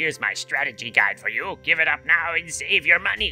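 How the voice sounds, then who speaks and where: A put-on character voice sits at a middle pitch and moves at a fairly quick pace. Faint music plays in the background. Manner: gruff, warning.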